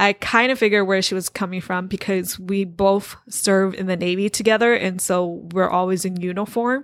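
A woman's medium-pitched voice with fairly even intonation, at a moderate pace. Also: hardly any pauses. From United States, Hmong American family. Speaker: podcast host. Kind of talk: solo podcast monologue.

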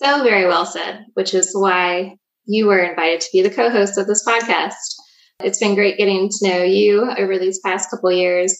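With an American accent, a woman uses a normal speaking voice at medium pitch, with fairly even intonation and a moderate pace. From southern Virginia (Danville). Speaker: podcast host, economic development leader. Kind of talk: casual chat.

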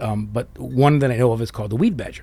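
A man talks fairly quickly in a medium pitch, his tone dark and mellow, somewhat breathy, with ordinary pitch variation. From US Midwest, southwest Detroit. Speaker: arborist, former nurseryman, business owner. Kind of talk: casual interview chat.

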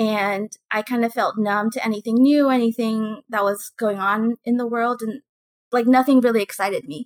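Heard dry and close with no echo, a woman talks at a moderate pace in an ordinary speaking voice, her fairly high pitch kept to fairly even intonation. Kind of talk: casual chat.

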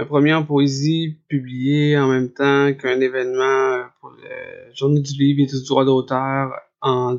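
At a very slow pace, a man speaks with monotone, flat intonation. His pitch is fairly high. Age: 40s. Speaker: writer living with hydrocephalus. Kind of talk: testimony. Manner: halting, many repetitions and fillers.

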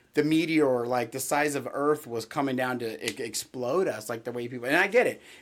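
With an American accent, a man speaks at a moderate pace with ordinary pitch variation on a very clean recording with a silent background. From California. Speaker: podcast co-host. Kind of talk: casual chat.

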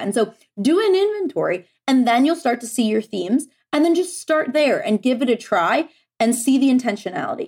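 A woman is speaking. Her intonation is lively. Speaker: productivity coach. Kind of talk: casual interview chat. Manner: fast talker.

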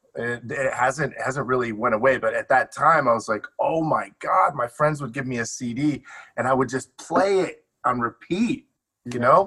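A man's medium-pitched voice has a bright, sharp tone. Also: ordinary pitch variation, moderate pace. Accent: American. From US Midwest, Detroit. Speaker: music producer and label owner. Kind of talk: casual chat. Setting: home studio.

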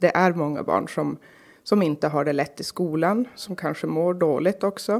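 On a very clean recording with a silent background, the speaker talks at a moderate pace with ordinary pitch variation and vocal fry. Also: woman. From Norrbotten, northern Sweden (Karlsborg near Kalix). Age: 30s. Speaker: local politician. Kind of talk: interview.

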